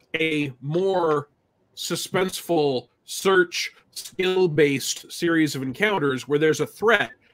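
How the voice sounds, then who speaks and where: The man's pitch rises and falls in an ordinary way as he talks. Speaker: podcast guest. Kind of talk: podcast discussion. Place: home room.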